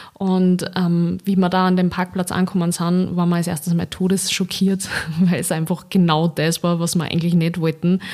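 A woman's fairly low pitch in a monotone, flat intonation at a moderate pace, with very even loudness. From Austria, Linz (Upper Austria). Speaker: podcast host. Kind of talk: solo casual monologue.

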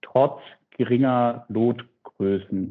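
In an ordinary speaking voice, a man speaks at a medium pitch with fairly even intonation. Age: 30s. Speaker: startup CEO. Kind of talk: interview. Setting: remote call. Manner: frequent filler sounds.

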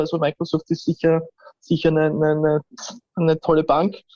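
In a Viennese accent, a man speaks at a fairly quick pace with a fairly high pitch and monotone, flat intonation, the sound dry and close with no echo. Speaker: AI and IT expert. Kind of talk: interview.

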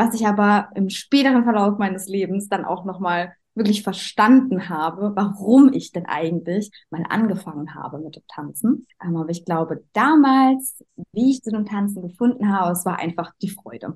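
Somewhat breathy and medium-pitched, a woman speaks at a moderate pace with lively intonation and big swings in loudness. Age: 20s. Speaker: dance teacher and coach. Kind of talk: interview. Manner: hesitant, many filler sounds.

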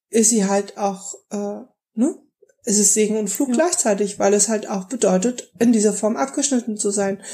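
Somewhat breathy, a woman speaks at a moderate pace with a dark, mellow tone, a fairly high pitch and ordinary pitch variation. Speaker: podcast co-host. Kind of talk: casual chat.

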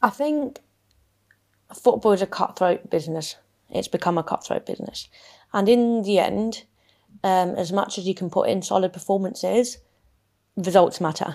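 Heard in a very clean recording with a silent background, a woman speaks in a dark, mellow tone with long, frequent pauses. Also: medium pitch for a woman, ordinary pitch variation, moderate pace. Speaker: footballer and podcast host. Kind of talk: casual interview conversation.

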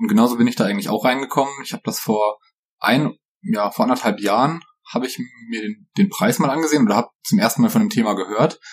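This man talks at a very fast pace with a medium pitch. His voice shows very wide pitch swings. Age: 20s. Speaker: software consultant. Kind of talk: casual chat.

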